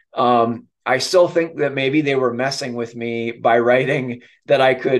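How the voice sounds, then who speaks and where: A man speaks with an American accent at a medium pitch. His pace is fairly slow. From Minnesota. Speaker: kidney donor and nonprofit leader, retired army officer; speaker. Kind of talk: presentation. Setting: video call. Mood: warm, lightly humorous. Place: home room. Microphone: webcam.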